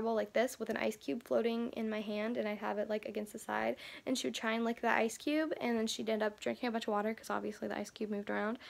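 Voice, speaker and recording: A woman talks at a very fast pace with hardly any pauses, in a fairly high voice. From Kentucky. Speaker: beauty vlogger. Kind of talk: casual vlog monologue. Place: home room. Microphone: phone near.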